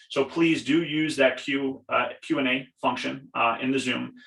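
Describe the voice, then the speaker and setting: A man speaks. He has a Long Island accent. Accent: Long Island New York. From Long Island, New York. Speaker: program representative. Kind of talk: webinar presentation. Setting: video call from home basement. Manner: fast.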